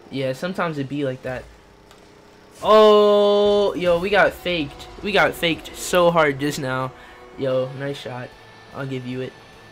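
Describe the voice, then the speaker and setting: A fairly high-pitched man at a fairly slow pace, lively intonation and long, frequent pauses, with music in the background. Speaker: gaming livestreamer. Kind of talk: casual livestream chat while gaming. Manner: animated.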